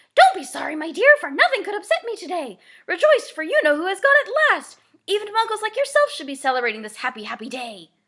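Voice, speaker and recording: A woman speaks very fast in a squeaky, extremely high-pitched put-on character voice. Her pitch swings very widely and her loudness rises and falls sharply. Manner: cheerful, delighted.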